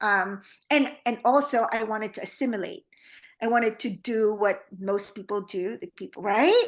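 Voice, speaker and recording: Against a quiet background, a woman with a Filipino accent speaks at a moderate pace in a fairly high, bright, sharp voice with ordinary pitch variation. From Philippines. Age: 40s. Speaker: trauma therapist. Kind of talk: podcast interview. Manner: many fillers, halting.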